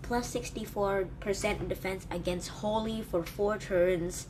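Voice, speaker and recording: Against noticeable background noise and audible room echo, a woman with a medium-pitched voice speaks at a fairly slow pace with fairly even intonation. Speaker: gaming YouTuber. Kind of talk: game review commentary. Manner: hesitant fillers.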